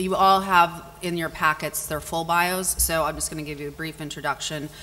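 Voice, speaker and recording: A very deep, low female voice at a moderate pace. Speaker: panel moderator. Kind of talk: moderator introduction. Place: hall. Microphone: podium.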